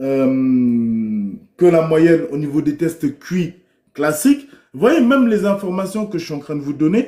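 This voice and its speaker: A loud man with a fairly high voice, a dark, mellow tone, very wide pitch swings and a fairly slow pace. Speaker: livestreamer. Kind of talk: livestream monologue. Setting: live stream.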